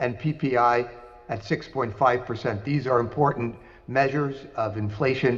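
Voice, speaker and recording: With fairly even intonation, a man talks at a moderate pace, and audible room echo surrounds his words. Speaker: investment banker, conference speaker. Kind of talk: conference presentation.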